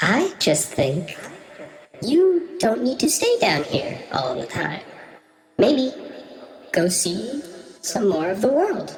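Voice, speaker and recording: In a put-on character voice, a female-sounding speaker uses a fairly high pitch and a gentle tone, moving at a very slow pace with long, frequent pauses. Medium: actual play. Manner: gentle, curious.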